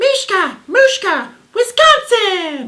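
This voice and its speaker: A woman's put-on character voice, extremely high in pitch, with very wide pitch swings. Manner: silly, exaggerated.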